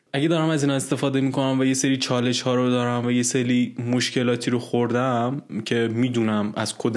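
A man at medium pitch and fairly quick pace, in a normal speaking voice. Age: 20s. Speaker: backend developer. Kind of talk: interview.

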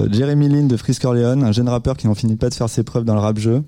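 A man talks at a medium pitch while noticeable background noise plays behind him. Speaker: radio host. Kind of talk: live radio show chat with music presentation. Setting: studio with live audience, also streamed on video.

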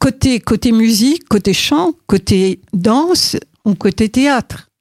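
A woman speaks very slowly with lively intonation and a fairly high pitch. The sound is dry and close, with no echo. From Morocco. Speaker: choir conductor and music teacher. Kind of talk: interview. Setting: studio. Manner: halting.

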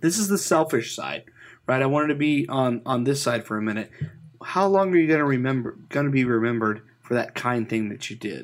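Recorded very cleanly against a silent background, a man talks in a normal speaking voice at a medium pitch, with lively intonation and a fairly quick pace. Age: 30s. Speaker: podcaster. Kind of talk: casual chat.

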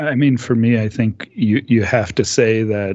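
A man speaks at a moderate pace with an Upper Midwest accent. His fairly low voice stays flat and monotone. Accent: Upper Midwest American. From US Midwest, Minneapolis. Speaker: podcast panelist. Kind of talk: casual discussion.

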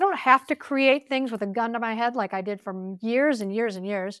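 Lively intonation and a fairly quick pace shape an unremarkable speaking voice with an American accent, captured in a very clean recording with a silent background and a dry, close sound with no echo. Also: woman. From US Midwest, Chicago area. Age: 50s. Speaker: television producer. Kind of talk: casual interview chat.

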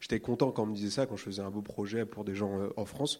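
A man's fairly low, monotone voice with flat intonation, on a very clean recording with a silent background. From Réunion. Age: 20s. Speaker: illustrator. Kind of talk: live panel conversation. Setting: stage with audience.

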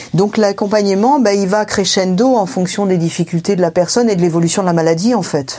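Over noticeable background noise, the speaker goes at a fairly quick pace with hardly any pauses and ordinary pitch variation. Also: woman, medium pitch for a woman, very even loudness. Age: 50s. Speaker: family caregiver. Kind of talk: testimony.

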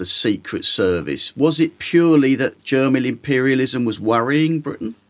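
A London accent at a fairly slow pace. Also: man. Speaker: podcast host, taxi driver. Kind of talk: interview.

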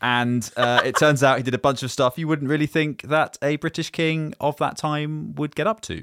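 On a very clean recording with a silent background, a man with fairly high pitch talks at a moderate pace with hardly any pauses, using an ordinary speaking voice and ordinary pitch variation. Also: dry, close sound with no echo. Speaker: podcast co-host. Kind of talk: casual chat.

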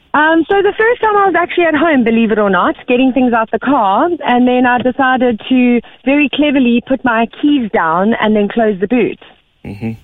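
With a South African accent, a woman speaks at a high pitch and a moderate pace, her intonation lively and her loudness very even. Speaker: caller. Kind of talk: casual chat.

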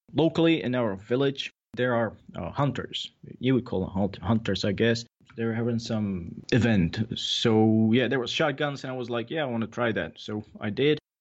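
A man with a Czech accent speaks at a moderate pace. His pitch is medium, with ordinary variation. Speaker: shooting instructor. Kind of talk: casual interview chat. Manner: laid-back, jokes, swears.

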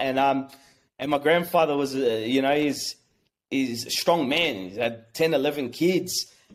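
Ordinary pitch variation marks this voice, heard with an Australian accent. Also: man. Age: 30s. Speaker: small business owner. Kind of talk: personal testimony. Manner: halting.

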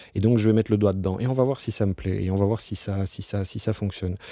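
The tone is dark and mellow, moving at a fairly quick pace. The recording is very clean with a silent background. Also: man. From Brussels, Belgium. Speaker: business executive. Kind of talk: interview. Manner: halting, many repetitions.

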